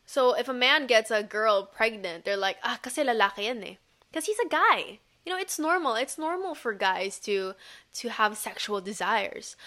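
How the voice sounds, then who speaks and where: A woman speaks at a moderate pace in a bright, sharp tone. Her fairly high voice swings very widely in pitch. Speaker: podcaster. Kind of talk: angry rant. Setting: home recording, baby crying downstairs. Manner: animated, impassioned, emphatic.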